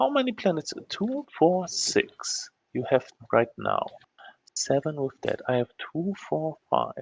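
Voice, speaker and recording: Recorded dry and close with no echo, a man speaks at a very slow pace. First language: not English. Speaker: board game player. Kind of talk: casual chat. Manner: halting.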